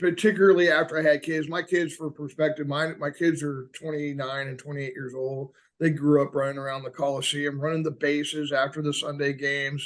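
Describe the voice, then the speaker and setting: A man with an American accent, fairly high in pitch, fairly quick, monotone and flat. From US South, Atlanta. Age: 60s. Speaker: high school teacher and baseball coach. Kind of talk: casual chat.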